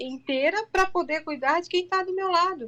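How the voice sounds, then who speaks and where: This woman's voice is raised and projected, with a bright, sharp tone. Her intonation is lively. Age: 40s. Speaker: integrative therapist. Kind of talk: interview conversation. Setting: online live stream.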